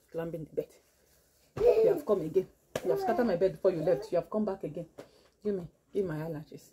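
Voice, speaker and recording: Female speech with ordinary pitch variation, noticeable background noise behind it. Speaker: mother vlogger. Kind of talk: casual vlog chat. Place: home room.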